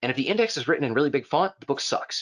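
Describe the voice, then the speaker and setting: The tone is animated, with very wide pitch swings. The background is quiet. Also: man. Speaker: software trainer. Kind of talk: online class lecture. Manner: fast; casual, animated. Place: home room.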